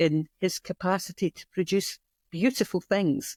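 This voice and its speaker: In a Scottish accent, a woman speaks at a fairly slow pace with a dark, mellow tone and medium pitch. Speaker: community weaving studio founder. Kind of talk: interview conversation. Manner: hesitant with fillers.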